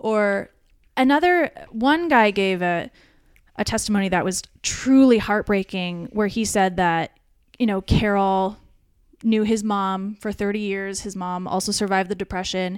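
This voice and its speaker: Speaking at a fairly slow pace and medium pitch, a woman with an unremarkable speaking voice is heard in a very clean recording with a silent background. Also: ordinary pitch variation. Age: 30s. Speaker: comedian. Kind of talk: casual chat; testimony.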